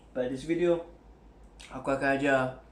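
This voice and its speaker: A man's fairly high voice at a fairly quick pace, fairly even in intonation, with audible room echo. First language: Malay. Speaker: camera hobbyist YouTuber. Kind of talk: tutorial. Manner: casual, code-switching English and Malay; hesitant, many fillers.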